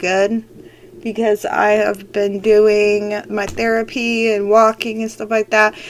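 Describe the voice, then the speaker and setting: Noticeable background noise sits under a woman whose pitch is fairly high. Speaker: podcaster with a health condition. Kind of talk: casual personal update. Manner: halting, many fillers.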